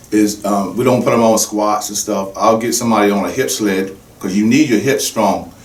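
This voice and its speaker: Noticeable background noise and audible room echo surround a man's voice. He speaks at a fairly low pitch with fairly even intonation. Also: moderate pace. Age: 60s. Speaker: fitness trainer. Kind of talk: podcast interview.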